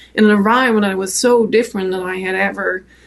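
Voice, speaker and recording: A woman with a French accent talks at a fairly quick pace and a medium pitch. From France. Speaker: photographer and author. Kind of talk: interview answer.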